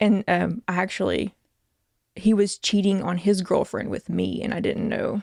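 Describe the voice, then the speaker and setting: A woman speaks at a moderate pace with a Southern US accent. The sound is dry and close, with no echo. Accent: Southern American. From American South. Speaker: nurse, comedian. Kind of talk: interview answer.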